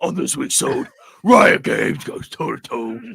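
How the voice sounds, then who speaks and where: A man puts on a raspy, high-pitched character voice and delivers it at a moderate pace. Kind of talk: announcer voice.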